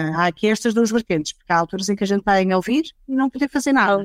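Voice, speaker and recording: A woman with an ordinary speaking voice, lively intonation and a fairly quick pace, on a very clean recording with a silent background and a dry, close sound with no echo. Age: 40s. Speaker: HR director. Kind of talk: casual panel discussion.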